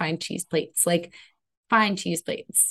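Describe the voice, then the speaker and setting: Somewhat breathy, a woman with an American accent speaks at a moderate pace with lively intonation. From Connecticut, US. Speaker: business coach. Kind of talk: interview.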